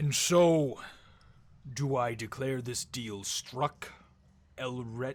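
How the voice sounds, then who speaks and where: A booming put-on character voice from a man, medium in pitch, very slow, with long, frequent pauses. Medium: actual play. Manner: grand, slow, formal.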